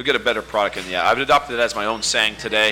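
Very fast speech with ordinary pitch variation over noticeable background noise. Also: man. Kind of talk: casual banter.

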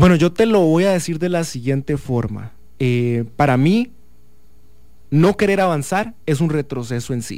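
Fairly high-pitched, this man's voice has a dark, mellow tone. He speaks at a fairly slow pace with lively intonation. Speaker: law student and youth activist. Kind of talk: interview.

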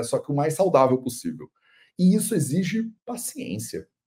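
A man with a dark, mellow tone talks at a moderate pace, his voice somewhat breathy and his intonation lively. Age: 30s. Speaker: Ayurveda teacher and video podcast host. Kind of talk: casual solo commentary on a video. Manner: animated.

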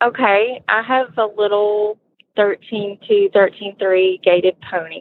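A woman talks with a strong Alabama accent at a fairly slow pace. Her pitch is medium and her intonation fairly even. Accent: strong southern Alabama drawl. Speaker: horse owner, listener product reviewer. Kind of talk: casual interview chat.

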